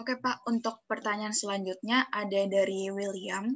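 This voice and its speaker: A woman's plain, everyday voice at medium pitch, with fairly even intonation and a moderate pace. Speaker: webinar moderator. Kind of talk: formal moderating. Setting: video call. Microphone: video call.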